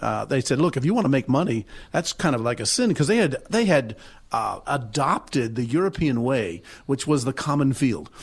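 A man talks at a fairly quick pace with an American accent and lively intonation. His voice is somewhat breathy over a quiet background. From New Jersey. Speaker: pastor and history foundation president. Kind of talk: radio interview.

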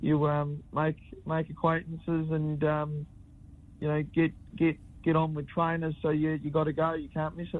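A man with an Australian accent, fairly high in pitch, flat and monotone, at a moderate pace with long, frequent pauses. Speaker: harness racing driver. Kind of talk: radio interview. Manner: halting, many repetitions.

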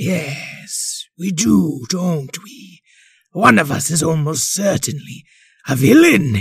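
In a put-on character voice, a man talks at a very slow pace and fairly high pitch, with lively intonation and big swings in loudness. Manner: wicked-sounding but polite and exasperated.

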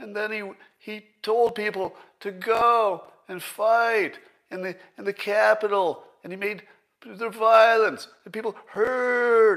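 A man's put-on character voice, high in pitch, at a very slow pace. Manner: mocking, parroting, mindless repetition.

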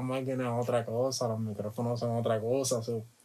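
His pitch is medium and his tone dark and mellow. The man speaks with monotone, flat intonation. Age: 20s. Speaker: music producer. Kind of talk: casual interview chat.

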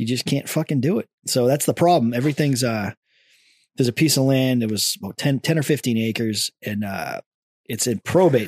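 Here is a man with a plain, everyday voice at a medium pitch. He moves at a fairly quick pace with ordinary pitch variation. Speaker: podcast host and former military radio setup guy. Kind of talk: casual banter, profanity-heavy chat. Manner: laid-back, crude, joking.

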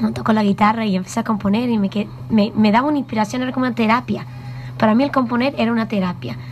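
A medium-pitched woman talks at a very fast pace with very wide pitch swings, noticeable background noise behind her. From New York. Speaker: singer-songwriter. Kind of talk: radio interview.

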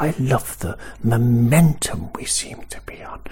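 Whispering at a very slow pace, a man sounds somewhat breathy. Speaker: football podcaster. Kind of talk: casual voice note.

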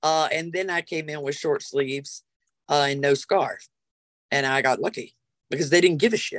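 A woman speaks with a Southern US accent in a very deep, low pitch, at a moderate pace. Her pitch varies an ordinary amount, and her pauses are long and frequent. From US South, South Carolina. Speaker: witch and spiritual practitioner. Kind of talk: casual interview.

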